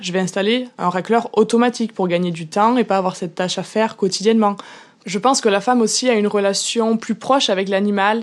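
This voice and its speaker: A woman's medium-pitched voice with a rural French accent, at a fairly quick pace. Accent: regional rural French. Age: young. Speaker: farmer. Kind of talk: interview answer. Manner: enthusiastic.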